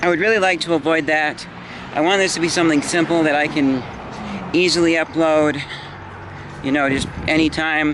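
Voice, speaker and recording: Noticeable background noise sits behind a man with a fairly high pitch. He keeps a moderate pace and fairly even intonation. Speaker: YouTuber vlogging. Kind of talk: casual vlog. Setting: outdoors, walking home. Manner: loud. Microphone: built-in camera mic.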